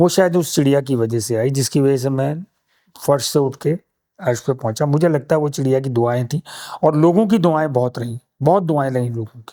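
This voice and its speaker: On a very clean recording with a silent background, a man with a fairly high pitch and a dark, mellow tone talks at a moderate pace with ordinary pitch variation. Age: 60s. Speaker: conservationist and nest maker, former filmmaker. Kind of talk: interview conversation.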